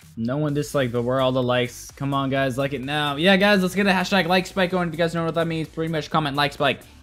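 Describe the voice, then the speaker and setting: With faint music in the background, a man speaks at a very fast pace with hardly any pauses, a fairly high pitch and ordinary pitch variation. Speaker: gaming livestreamer. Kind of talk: casual livestream chat while gaming. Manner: animated. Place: home room. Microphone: headset.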